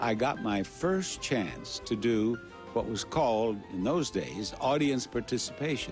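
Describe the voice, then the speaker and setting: Music plays in the background as a man talks at a fairly low pitch with lively intonation. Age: 80s+. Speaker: game show host; war veteran. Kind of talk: interview answer.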